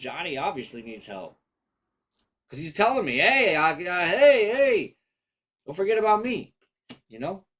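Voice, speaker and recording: A man's high-pitched voice. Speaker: tarot reader. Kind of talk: live tarot reading. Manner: casual.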